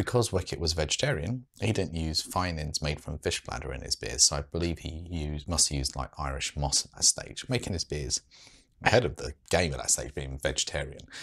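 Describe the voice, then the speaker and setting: A man with a very deep, low pitch talks at a fairly quick pace, his intonation lively and his voice showing vocal fry. His loudness swings widely against a quiet background. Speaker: beer reviewer. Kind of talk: commentary on brewery history. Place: home room.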